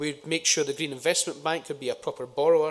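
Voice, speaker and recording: The recording of this man with a Scottish accent is very clean, with a silent background. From Scotland. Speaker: politician. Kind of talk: conference speech. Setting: conference stage with audience. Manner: frequent filler uhs.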